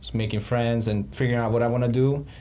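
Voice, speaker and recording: A somewhat breathy man speaks with audible room echo. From Montenegro. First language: Serbian. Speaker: ex-tech company financial analyst. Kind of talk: interview. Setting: podcast.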